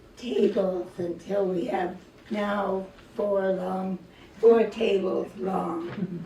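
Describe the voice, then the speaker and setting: Noticeable background noise and audible room echo around a female voice. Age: 80s+. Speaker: poet and Parkinson's advocate. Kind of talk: reading and personal talk at event. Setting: arts center event with audience.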